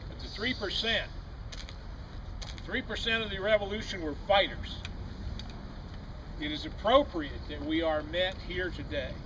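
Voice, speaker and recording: With an American accent, a man talks at a moderate pace. Audible room echo and noticeable background noise surround him. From US South (Alabama). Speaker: political activist speaker. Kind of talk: rally speech.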